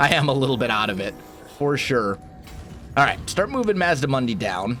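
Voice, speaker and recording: A man at medium pitch, fairly quick pace and lively intonation, over noticeable background noise. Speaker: gaming video creator. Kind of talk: let's play gameplay commentary. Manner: casual, with filler hesitations.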